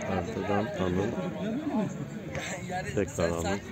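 Over clear crowd noise in the background, the voice moves slowly with little pitch movement. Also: man, low pitch for a man.

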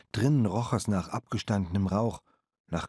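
Recorded dry and close with no echo and a silent background, a man speaks at a moderate pace in a fairly low pitch with a dark, mellow tone. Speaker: audiobook narrator. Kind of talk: audiobook narration, first-person reading of a boy's story. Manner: measured storyteller pace, with voices for the waitress.

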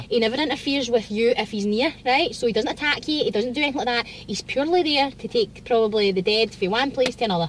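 A woman with a Glasgow accent and a high pitch talks very fast with hardly any pauses and ordinary pitch variation. The sound is dry with no echo over light background noise. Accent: Scottish, Glasgow. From Scotland. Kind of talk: casual trailer reaction talk to camera. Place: car. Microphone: phone near.

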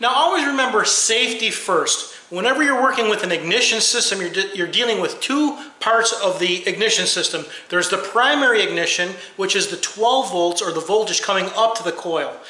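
A man talks in a raised, projected voice at a fairly quick pace, his intonation lively and some room echo audible. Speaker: car repair channel host. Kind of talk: tutorial. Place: garage. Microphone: phone near.

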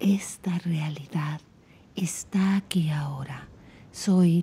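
Whispering at a very slow pace, a woman sounds somewhat breathy. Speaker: relationship coach. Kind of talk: guided meditation.

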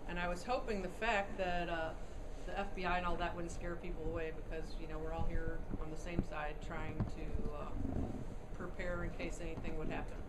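Over loud background noise, a woman keeps a moderate pace as she speaks. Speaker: meeting organizer. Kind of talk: casual introduction and Q&A. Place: meeting room. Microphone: camera far.

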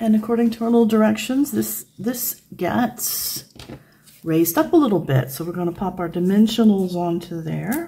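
The voice has an American accent and a dark, mellow tone, somewhat breathy. It moves at a moderate pace with very wide pitch swings. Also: woman. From United States. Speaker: craft video creator. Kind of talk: tutorial. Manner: casual, chatty.

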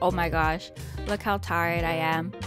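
A woman speaks with clear music playing in the background. The sound is dry, with no echo. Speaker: vlogger narrating. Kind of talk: casual vlog voice-over. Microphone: studio mic.

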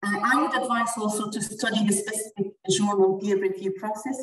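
Against a quiet background with audible room echo, a woman speaks at a moderate pace in a somewhat breathy, medium-pitched voice. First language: not English. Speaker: dental researcher; webinar presenter. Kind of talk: webinar presentation. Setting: video call. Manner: halting. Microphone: video call.

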